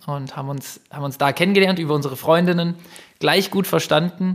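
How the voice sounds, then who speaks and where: Fairly even intonation from a man at a fairly quick pace. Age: 30s. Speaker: entrepreneur. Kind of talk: interview. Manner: hesitant, many fillers.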